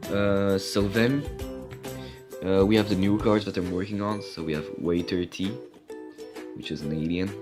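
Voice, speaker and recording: A man with a fairly low pitch and ordinary pitch variation speaks at a fairly slow pace, with music in the background. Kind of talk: casual card game review talk to camera.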